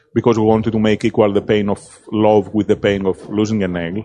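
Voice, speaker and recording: In a Greek accent, a man of medium pitch speaks at a moderate pace with fairly even intonation. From Greece. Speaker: film director. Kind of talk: interview. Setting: film festival.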